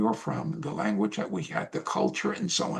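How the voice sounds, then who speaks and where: A man talks with vocal fry and very wide pitch swings. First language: Spanish. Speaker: oral history interviewee, retired academic. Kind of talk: oral history interview. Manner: hesitant, many fillers.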